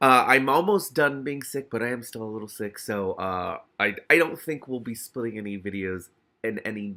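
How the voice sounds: The speaker uses a natural reading voice. The background is quiet.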